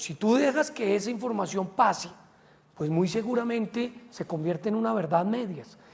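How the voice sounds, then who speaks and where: A man talks at a high pitch with ordinary pitch variation. Noticeable background noise runs behind him. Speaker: politician. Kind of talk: interview. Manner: hesitant fillers.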